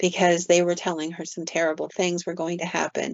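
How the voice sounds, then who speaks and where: A woman speaks at a fairly quick pace in a fairly low pitch, with flat, monotone intonation and vocal fry. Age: 60s. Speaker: paranormal podcast host and storyteller. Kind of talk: storytelling in casual podcast chat.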